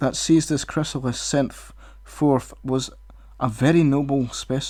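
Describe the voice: Someone reads aloud plainly, the intonation staying fairly even.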